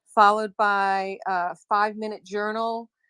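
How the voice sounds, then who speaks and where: A woman speaks in a normal speaking voice at a fairly high pitch and a moderate pace, with a dry, close sound with no echo over a quiet background. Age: 60s. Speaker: wellness coach. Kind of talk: interview.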